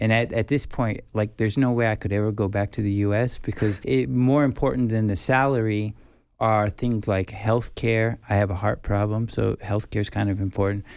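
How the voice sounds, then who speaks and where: A man with an ordinary speaking voice, moderate pace, fairly even intonation and hardly any pauses. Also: fairly low pitch for a man, very even loudness, very clean recording, silent background. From United States. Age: 50s. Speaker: professor. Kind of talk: interview.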